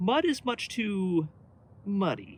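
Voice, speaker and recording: The voice is a put-on character voice. It sits at a middle pitch. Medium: read story.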